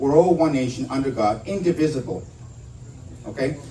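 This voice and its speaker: A man with an American accent talks at a moderate pace with lively intonation. There is audible room echo around his voice. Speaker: veterans' organization leader, political speaker. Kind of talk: political rally speech.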